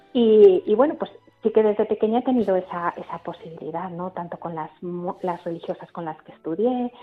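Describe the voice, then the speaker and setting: A woman's fairly quick speech is heard against noticeable background noise. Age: 40s. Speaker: nun and nurse. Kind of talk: radio interview testimony.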